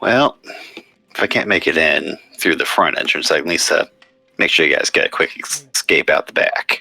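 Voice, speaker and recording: A man uses a raspy, put-on character voice at a moderate pace. Faint music plays in the background. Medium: actual play.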